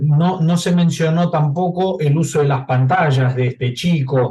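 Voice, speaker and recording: A somewhat breathy man with a fairly high pitch speaks at a fairly slow pace. His tone is dark and mellow, with ordinary pitch variation. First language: not Spanish (speaking Spanish). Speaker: audience member asking a question. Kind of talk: question at a clinical case conference. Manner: halting.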